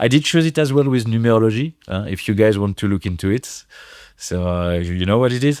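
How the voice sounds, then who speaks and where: A man speaks with a French accent at medium pitch. His pace is fairly quick and his intonation lively. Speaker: DJ and producer. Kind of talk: podcast interview. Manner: halting, many fillers.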